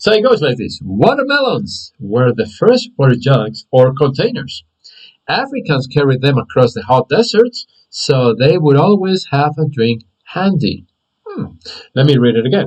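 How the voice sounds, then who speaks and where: This man's voice sits fairly high and is somewhat breathy. His pitch swings very widely. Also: moderate pace. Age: 50s. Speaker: English teacher. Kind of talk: live online class. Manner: hesitant, many fillers.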